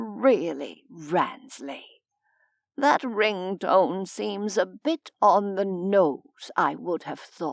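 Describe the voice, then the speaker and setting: A woman puts on a character voice at medium pitch. She goes at a very slow pace with lively intonation. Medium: read story. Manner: formal, dry.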